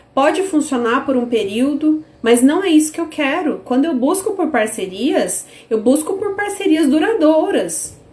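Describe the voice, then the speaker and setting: Animated and high-pitched, a woman speaks fairly slowly with very wide pitch swings over noticeable background noise. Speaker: business course teacher. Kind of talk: online live class.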